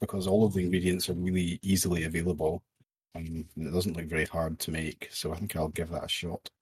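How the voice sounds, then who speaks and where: A man with a Scottish accent speaks in a very deep, low, somewhat breathy voice with fairly even intonation, the sound dry and close with no echo. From Scotland. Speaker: podcast co-host. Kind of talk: casual chat podcast.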